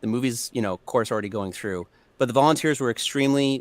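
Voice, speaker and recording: A man speaks with ordinary pitch variation in a very clean recording with a silent background. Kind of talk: casual chat. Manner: halting.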